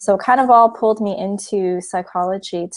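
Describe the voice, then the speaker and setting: With a Canadian accent, a woman speaks at a moderate pace in a medium pitch. The sound is dry and close with no echo, over a quiet background. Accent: Canadian, noticeable to British listeners. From Canada. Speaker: psychologist and film producer. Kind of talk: interview conversation.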